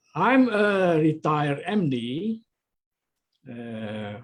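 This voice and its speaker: This is a man with a high pitch. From Indonesia. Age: 80s+. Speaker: retired doctor. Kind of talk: interview. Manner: halting.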